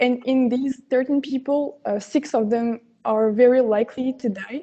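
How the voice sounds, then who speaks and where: In a French accent, a woman with a high pitch and a dark, mellow tone talks at a moderate pace with fairly even intonation. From France. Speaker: competition contestant. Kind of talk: pitch presentation. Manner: halting.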